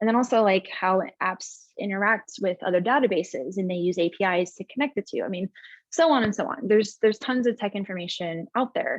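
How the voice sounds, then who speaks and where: A woman talks at a medium pitch and a fairly quick pace. Her pitch varies in an ordinary way, with a dry, close sound and no echo. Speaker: tech company executive. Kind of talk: webinar presentation. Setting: webinar. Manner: fast.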